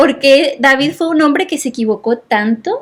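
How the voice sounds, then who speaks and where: A woman with ordinary pitch variation at a fairly slow pace. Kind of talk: Bible teaching in podcast chat.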